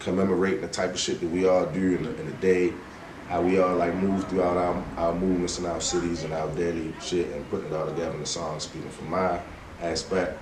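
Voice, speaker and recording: Very fast and monotone, a man with a very deep, low pitch speaks flatly over noticeable background noise. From Westside of Baltimore. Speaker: rap artist. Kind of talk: podcast interview answer. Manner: casual, relaxed.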